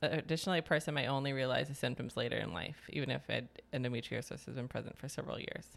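Very fast speech with vocal fry and fairly even intonation. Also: woman, very deep, low pitch for a woman. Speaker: podcast host. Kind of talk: casual chat.

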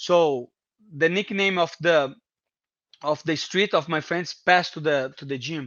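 A man with a Portuguese accent speaks fairly slowly at a fairly high pitch, with ordinary pitch variation and long, frequent pauses. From Brazil, Brasilia. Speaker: MMA fighter. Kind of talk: casual interview. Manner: halting, repeating words.

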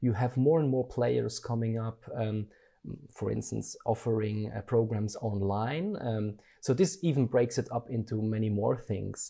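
Somewhat breathy speech with a dark, mellow tone, fairly slow, with ordinary pitch variation and a quiet background. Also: man, medium pitch for a man. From Germany. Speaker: design educator. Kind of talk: interview. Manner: hesitant, many fillers.

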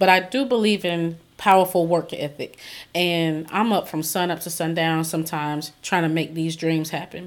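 With a Southern US accent, a woman speaks at a moderate pace with a fairly low pitch and fairly even intonation, in a very clean recording with a silent background. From South Carolina. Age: 40s. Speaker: book publisher and author. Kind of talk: interview.

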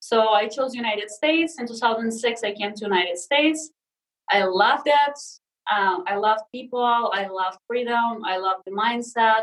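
Speaking in a Russian accent at a moderate pace, a woman uses a fairly high pitch with ordinary variation in tone. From Russia (Sakhalin, Siberia). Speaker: leadership and personal transformation coach. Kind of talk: casual interview chat. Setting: video call.

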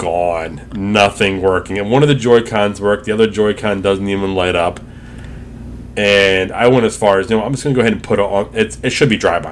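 A loud voice with ordinary pitch variation. It moves at a fairly quick pace. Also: man, fairly low pitch for a man. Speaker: podcast co-host. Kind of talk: casual chat.

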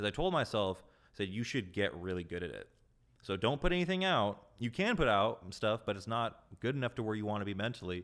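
Speaking in a plain, everyday voice, a man keeps a fairly quick pace at a fairly low pitch with lively intonation. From Southern California (Carlsbad). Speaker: music producer and record label co-owner. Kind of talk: casual interview chat.

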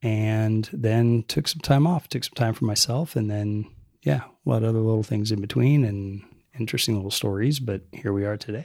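A man with a fairly low voice and a calm tone speaks at a fairly quick pace with ordinary pitch variation, on a very clean recording with a silent background. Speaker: guest, host's partner. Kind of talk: casual interview conversation.

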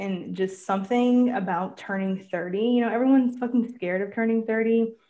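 Using a plain, everyday voice, a woman talks at a moderate pace with ordinary pitch variation. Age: 30s. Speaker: podcast co-host. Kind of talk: casual chat.

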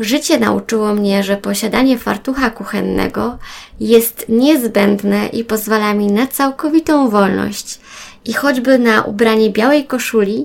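This woman has an unremarkable speaking voice, fairly high in pitch, with ordinary pitch variation and a moderate pace. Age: 30s. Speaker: podcaster. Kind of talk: personal monologue.

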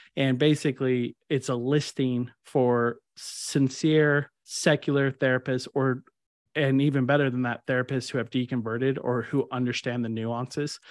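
A man with a Texan accent at medium pitch, moderate pace, and monotone, flat intonation, with a dry, close sound, no echo and a quiet background. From Kerrville, Texas. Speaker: podcast co-host. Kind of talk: casual chat.

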